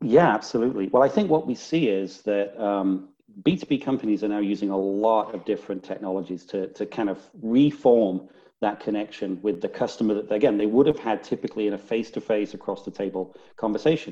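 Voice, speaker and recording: Fairly quick speech from a man with a northern English accent, fairly low in pitch, with a dark, mellow tone and ordinary pitch variation. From northern England. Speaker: business strategy executive. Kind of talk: interview.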